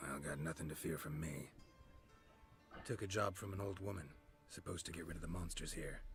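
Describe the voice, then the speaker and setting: A man's put-on character voice, very deep and low in pitch, at a fairly quick pace over clear background music. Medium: machinima. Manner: laconic, dry.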